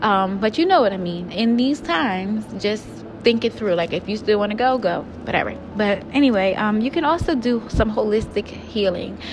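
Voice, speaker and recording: A woman with a fairly high pitch talks as noticeable background noise carries on behind her. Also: ordinary pitch variation, moderate pace. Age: 20s. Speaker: podcast host. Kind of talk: personal monologue. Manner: casual, hesitant with fillers.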